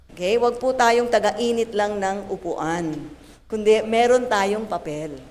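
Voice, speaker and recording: Amid audible room echo, the speaker sounds animated and talks at a fairly slow pace. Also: woman. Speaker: pastor. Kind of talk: sermon. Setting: church. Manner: tireless, keeps voice for an hour.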